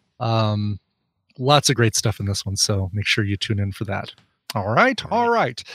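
Fairly low in pitch, a man with an unremarkable speaking voice keeps his intonation fairly even in a very clean recording with a silent background. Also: moderate pace. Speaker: co-host. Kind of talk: casual comedic chat.

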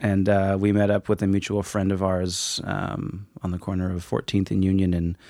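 A man's very deep, low voice, dark and mellow in tone, monotone and flat, at a moderate pace. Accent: Pacific Northwest. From Woodinville, Washington. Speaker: yoga teacher. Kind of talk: casual chat.

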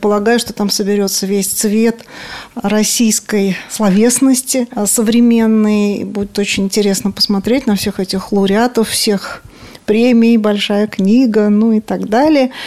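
Speaking fairly slowly with fairly even intonation, a woman has an unremarkable speaking voice at a fairly high pitch. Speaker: radio culture columnist. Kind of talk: interview.

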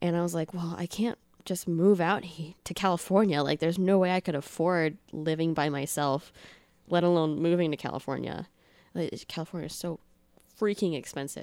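A normal speaking voice from a woman, fairly low in pitch, with an American accent, a moderate pace and fairly even intonation, on a very clean recording with a silent background. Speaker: podcast host and YouTuber. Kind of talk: casual chat.

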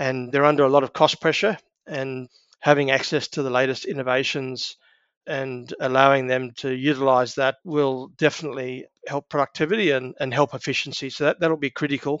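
A man with an Australian accent talks at a fairly quick pace, his pitch fairly high. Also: fairly even intonation. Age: 60s. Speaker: agribusiness executive. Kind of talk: interview.

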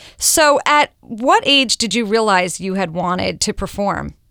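Her bright, sharp tone carries vocal fry at a medium pitch. The woman is recorded very cleanly against a silent background. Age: 40s. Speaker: radio host. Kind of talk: interview. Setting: studio.

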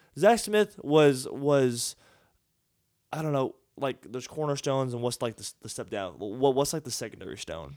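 A man with a Texas accent, medium in pitch, at a moderate pace with lively intonation and big swings in loudness. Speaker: sports podcast host. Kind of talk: casual chat. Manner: halting, repeats words.

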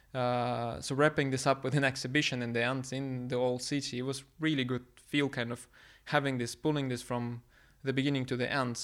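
On a very clean recording with a silent background, a man with a Russian accent speaks fairly quickly in a flat monotone at a medium pitch. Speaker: PhD student and environmental activist. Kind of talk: interview. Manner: halting, many fillers and restarts.

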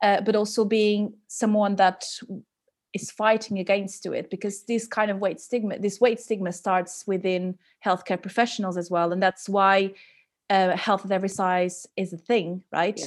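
A woman speaks with a Portuguese accent in a monotone, flat intonation. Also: medium pitch for a woman, moderate pace. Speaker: podcast host and dietitian. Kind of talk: interview conversation. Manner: halting.

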